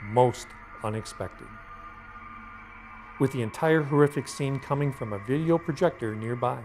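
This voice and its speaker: Music plays in the background. A man at medium pitch speaks with long, frequent pauses. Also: ordinary pitch variation, moderate pace. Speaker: voice actor. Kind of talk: product commercial narration.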